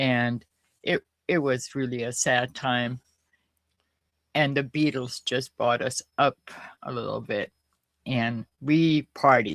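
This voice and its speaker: A woman's very deep, low voice at a very slow pace, with ordinary pitch variation and long, frequent pauses, in a dry, close, very clean recording with no echo and a silent background. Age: 80s+. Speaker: host's mother, guest. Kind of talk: casual interview chat. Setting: live stream, shared mic with host.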